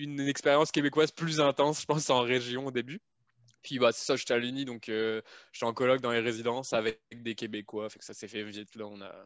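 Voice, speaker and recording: A man talks at a fairly quick pace in a plain, everyday voice at medium pitch. His intonation is fairly even, while his loudness swings widely. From France. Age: 30s. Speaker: software programmer. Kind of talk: casual chat.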